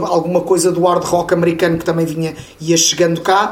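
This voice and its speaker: High pitch from a man, with noticeable background noise and audible echo in the room. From Portugal, Lisbon. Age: 40s. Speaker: metal webzine reporter and radio host. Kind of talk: casual chat.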